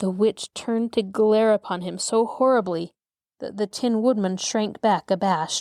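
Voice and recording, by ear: The text is read aloud in a natural voice, and the background stays quiet.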